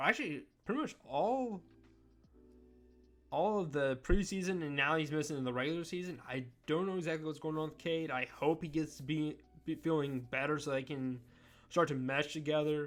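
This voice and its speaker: Music plays behind a man speaking at a moderate pace and fairly high pitch, with ordinary pitch variation and long, frequent pauses. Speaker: NBA commentary YouTuber. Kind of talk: casual sports talk monologue. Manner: loud.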